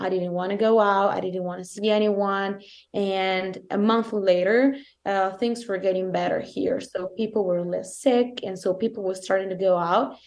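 A woman with an Italian accent at medium pitch and a moderate pace, her intonation fairly even, against a quiet background. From southern Italy. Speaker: co-host. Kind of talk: casual chat.

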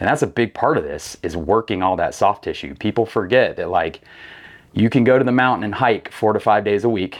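With an unremarkable speaking voice, a man talks at a fairly quick pace and a fairly low pitch, with ordinary pitch variation over a quiet background. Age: 30s. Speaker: fitness coach and hunter, former navy rescue swimmer. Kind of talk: casual chat. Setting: studio.

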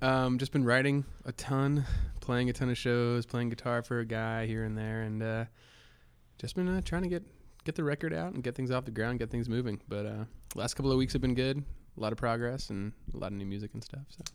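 A normal speaking voice from a man with an American accent, medium pitch, ordinary pitch variation and a fairly quick pace. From US Northeast, Connecticut. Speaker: singer-songwriter. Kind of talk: casual chat.

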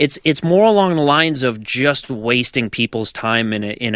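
A normal speaking voice from a man, with ordinary pitch variation and a moderate pace. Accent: American. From Massachusetts, US. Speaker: podcast host and musician. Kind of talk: casual chat.

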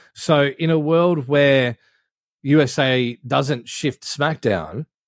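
In a very clean recording with a silent background and a dry, close sound with no echo, a man speaks at a very slow pace. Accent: Australian. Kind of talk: casual chat.

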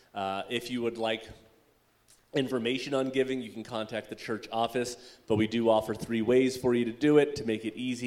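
A man with a normal speaking voice delivers his words at a moderate pace, pitched in the medium range. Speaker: church service leader. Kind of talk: announcements and prayer. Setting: church.

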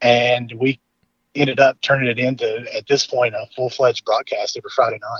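A man with a Southern US accent at a fairly quick pace. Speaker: high school football announcer. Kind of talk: casual interview chat. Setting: phone call.

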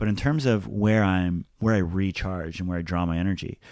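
A man at a fairly low pitch, fairly even intonation, moderate pace. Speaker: podcast host. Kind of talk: casual chat. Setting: home bedroom. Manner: lowered pitch, careful enunciation.

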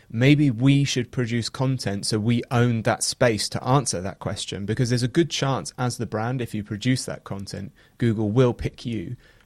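In a very clean recording with a silent background, a man with an English accent talks at medium pitch and a moderate pace, using ordinary pitch variation. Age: 30s. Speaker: founder of an SEO software company. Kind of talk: podcast interview.

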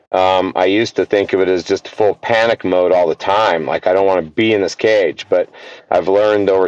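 A man speaks in a normal speaking voice at a fairly low pitch, with fairly even intonation and a moderate pace. The sound is dry and close, without echo. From US. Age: 50s. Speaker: archery event organizer and water operator. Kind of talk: casual interview chat.

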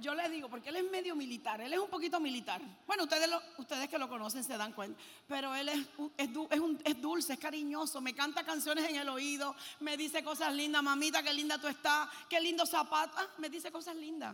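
A woman's high, bright, sharp voice comes out raised and projected, animated and fairly quick, with ordinary pitch variation. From Puerto Rico. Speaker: preacher. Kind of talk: sermon. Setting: stage with audience.

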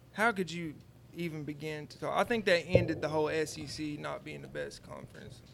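A man speaks at a moderate pace with big swings in loudness. Noticeable background noise is present. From Georgia, Atlanta area. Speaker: rapper. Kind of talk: casual chat.

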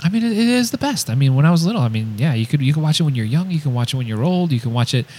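A man speaks at a very fast pace and a fairly high pitch. His voice swings very widely in pitch. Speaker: podcast co-host. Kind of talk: casual chat.

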